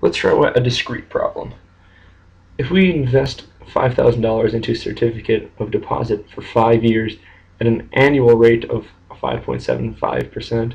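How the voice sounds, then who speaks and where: A quiet man at a moderate pace. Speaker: math teacher. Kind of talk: math lesson screencast narration. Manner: monotone, quiet.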